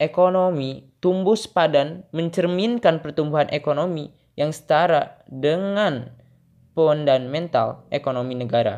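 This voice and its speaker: A man talks in a plain, everyday voice with a fairly high pitch. His pitch varies in an ordinary way, and his pace is fairly slow. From Indonesia, Garut (West Java). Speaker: university student. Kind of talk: reading homework answers aloud.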